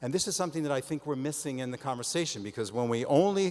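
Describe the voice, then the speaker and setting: A man speaks with a strong Israeli accent. His voice is fairly high, with ordinary pitch variation. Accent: heavy Israeli. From Israel, Haifa. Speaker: diplomat. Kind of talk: conference speech. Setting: stage with audience.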